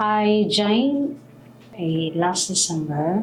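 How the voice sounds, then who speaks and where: Against music in the background, a woman with a Filipino accent speaks at a very slow pace. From Philippines. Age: 40s. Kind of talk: interview answer.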